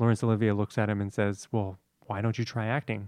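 Fairly quick, monotone, flat delivery from a man with a fairly low pitch, against a quiet background with a dry, close sound and no echo. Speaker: actor, guest. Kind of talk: casual chat.

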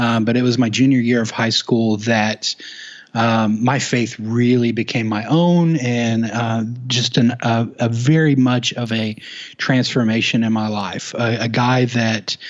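A man with an American accent has a plain, everyday voice, medium in pitch, with fairly even intonation at a fairly slow pace. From Oklahoma, US. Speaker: youth ministry resource founder. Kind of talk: casual interview.

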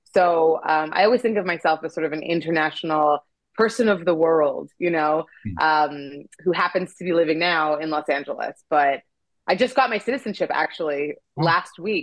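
This woman has a fairly low pitch and ordinary pitch variation. She talks at a moderate pace. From Canada. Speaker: actress and comedian. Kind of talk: casual interview chat. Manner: animated.

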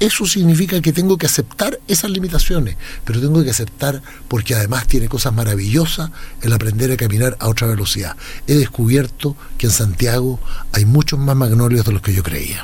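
Here a man talks at a fairly quick pace in a medium pitch. His pitch swings very widely. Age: 60s. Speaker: lawyer, academic and writer. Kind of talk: interview conversation.

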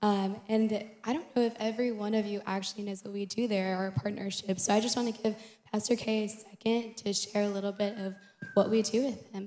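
Over noticeable background noise, a woman speaks at a fairly quick pace with monotone, flat intonation. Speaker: city engagement director. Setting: church.

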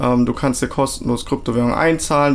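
A man's medium-pitched voice at a moderate pace, with noticeable background noise. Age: 20s. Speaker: crypto product manager. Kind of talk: interview. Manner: hesitant with many fillers.

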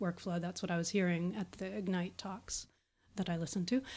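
A woman speaks in a plain, everyday voice at a medium pitch with fairly even intonation, on a very clean recording with a silent background. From Pittsburgh, Pennsylvania, US. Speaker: SharePoint consultant and speaker. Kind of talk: interview chat.

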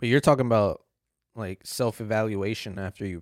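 In a normal speaking voice, a man talks at a fairly quick pace with a fairly low pitch and fairly even intonation, the sound dry and close with no echo. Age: 30s. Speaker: podcast host. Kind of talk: casual chat.

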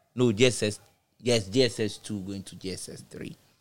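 A man with a Ghanaian accent speaks in a fairly low voice. His intonation is fairly even. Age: 30s. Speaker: DJ and music artist. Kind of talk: casual chat.

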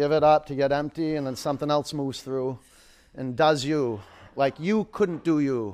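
In an ordinary speaking voice, a man talks at a moderate pace and fairly high pitch with ordinary pitch variation. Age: 50s. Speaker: yoga instructor. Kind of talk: live power yoga class instruction, shouted countdowns and cues over effort. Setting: yoga studio with live class. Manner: playful, joking asides to the class.

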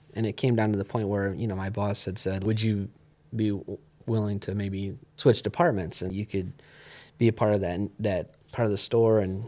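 In a very clean recording with a silent background, a man speaks at a fairly low pitch and moderate pace, with fairly even intonation and an unremarkable speaking voice. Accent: American. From Ohio, US. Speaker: recording studio owner and musician. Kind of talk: interview conversation.

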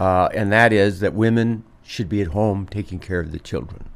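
Heard in a very clean recording with a silent background, this man has an unremarkable speaking voice with an American accent, a fairly low pitch and a moderate pace. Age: 60s. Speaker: physician, radio show doctor. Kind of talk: medical radio talk show. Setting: radio studio.

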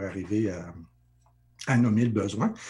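His voice has a dark, mellow tone and a fairly low pitch. The man sounds somewhat breathy. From Sudbury region, northern Ontario, Franco-Ontarian. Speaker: life coach. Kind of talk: interview. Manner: halting, many repetitions.

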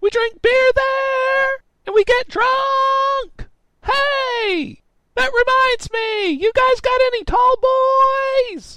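A man shouts in a put-on character voice at an extremely high pitch. He goes very slowly, with long, frequent pauses. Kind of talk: comic overacting. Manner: shouting, insistent, oblivious.

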